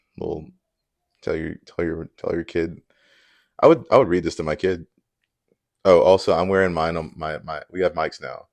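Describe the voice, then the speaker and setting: Against a quiet background, a man speaks at a moderate pace with long, frequent pauses. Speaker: book reviewer. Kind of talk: casual chat. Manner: loud.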